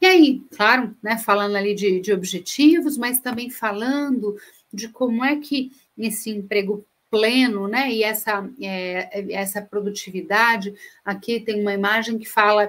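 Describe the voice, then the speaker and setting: A fairly high-pitched woman with a Minas Gerais accent, at a fairly slow pace with ordinary pitch variation. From Minas Gerais, Brazil. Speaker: speaker on corporate sustainability. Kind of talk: webinar presentation. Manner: hesitant, many fillers.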